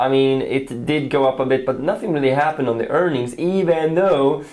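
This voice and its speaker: Speaking at a fairly quick pace with a non-native accent, a man with a fairly high pitch and ordinary pitch variation is heard over noticeable background noise and audible room echo. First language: not English. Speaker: trading educator. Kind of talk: casual market chat.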